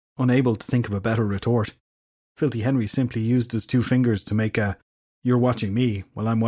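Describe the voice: The intonation stays fairly even as someone plainly reads aloud with a quiet background.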